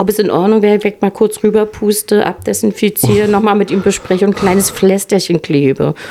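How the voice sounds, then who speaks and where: A woman's medium-pitched voice in a northern German accent, fairly quick with hardly any pauses, fairly even intonation and very even loudness, over noticeable background noise. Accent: northern German, still audible. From Mecklenburg-Western Pomerania. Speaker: intensive care nurse. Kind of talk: casual chat. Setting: hotel lounge.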